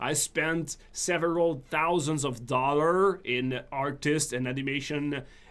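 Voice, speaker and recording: Speaking very slowly with a French accent, a man has a fairly high pitch and a bright, sharp tone. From northern Quebec. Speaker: game developer and streamer. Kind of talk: live stream chat. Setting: live stream. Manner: casual with many fillers and restarts.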